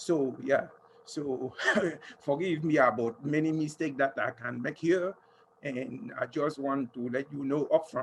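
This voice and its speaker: A man speaks in a French accent at a fairly high pitch. His pace is fairly slow and his pitch variation ordinary. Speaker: audience member asking a question. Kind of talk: audience question. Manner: halting.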